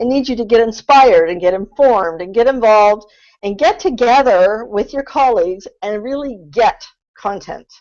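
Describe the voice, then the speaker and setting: In a normal speaking voice, a woman talks at a moderate pace with lively intonation and a fairly high pitch. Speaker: content strategy consultant. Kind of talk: webinar presentation. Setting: online webinar.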